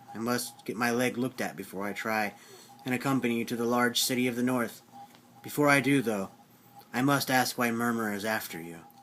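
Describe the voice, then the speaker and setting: This is a put-on character voice with a growling sound. The pace is fairly quick. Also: man, medium pitch for a man. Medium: read story. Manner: calm, stern.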